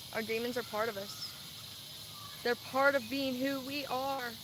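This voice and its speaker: Noticeable background noise accompanies a woman's high-pitched voice. She speaks with an American accent and monotone, flat intonation. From Louisiana and Texas. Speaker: vlogger. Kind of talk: casual livestream monologue. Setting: live stream.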